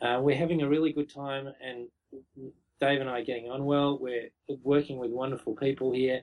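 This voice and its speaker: Talking at a fairly quick pace, a man with an Australian accent keeps a fairly high pitch and monotone, flat intonation. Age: 40s. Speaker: brewery co-founder. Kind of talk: interview.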